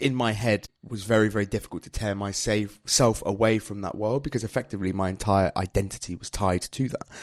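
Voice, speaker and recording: Speaking at a fairly quick pace, a man with a British accent uses a fairly low pitch. The recording is very clean with a silent background and a dry, close sound with no echo. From UK. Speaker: English teacher, former record label manager. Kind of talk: interview. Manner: casual, conversational.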